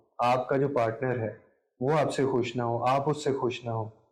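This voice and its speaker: A man's voice comes through somewhat breathy. The background is quiet. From Pakistan. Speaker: content creator, radio broadcaster, voice-over artist. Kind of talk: interview answer.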